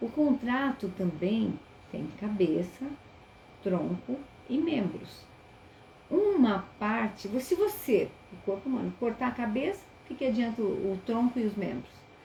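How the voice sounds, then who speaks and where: A woman with a fairly high pitch talks at a fairly slow pace, using very wide pitch swings and long, frequent pauses. The recording has noticeable background noise and audible room echo. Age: 60s. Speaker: teacher. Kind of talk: webinar lecture. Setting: online live stream.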